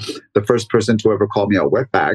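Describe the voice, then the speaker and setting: A man with a fairly low pitch talks at a very fast pace, sounding somewhat breathy. The sound is dry and close, with no echo. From Mexico (Michoacan), raised in Los Angeles from age 9. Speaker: dancer and dance teacher. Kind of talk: casual interview conversation.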